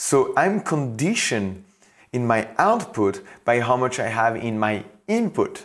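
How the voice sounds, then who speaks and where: A man with a French accent, speaking at a fairly slow pace with lively intonation. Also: medium pitch for a man. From France. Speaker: podcast host and coach. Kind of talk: solo motivational monologue. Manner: animated; halting.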